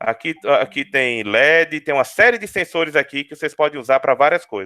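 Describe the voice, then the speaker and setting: A man talks with a bright, sharp tone and lively intonation. The sound is dry and close with no echo. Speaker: university lecturer. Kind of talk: webinar lecture. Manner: fast; halting, many repetitions.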